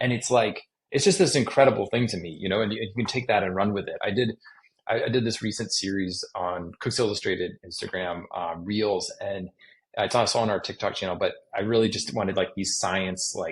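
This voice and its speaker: At a fairly quick pace, the delivery sounds somewhat breathy. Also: man, fairly low pitch for a man, ordinary pitch variation. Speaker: chef and magazine editor. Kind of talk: interview conversation. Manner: fast; casual, filler-heavy.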